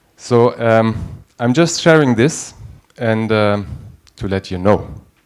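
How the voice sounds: Slowly and with lively intonation, a man speaks at fairly low pitch in a clear, smooth tone.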